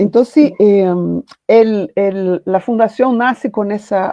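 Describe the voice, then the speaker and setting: A woman's voice in a Portuguese accent, with ordinary pitch variation. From Brazil. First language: Portuguese (speaking Spanish). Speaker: foundation founder and literature professor. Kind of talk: panel talk, personal testimony.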